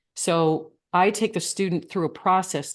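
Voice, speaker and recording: With an American accent and an ordinary speaking voice, a woman talks at a moderate pace and a fairly low pitch, showing ordinary pitch variation against a quiet background. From Michigan. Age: 60s. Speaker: coach. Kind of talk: interview.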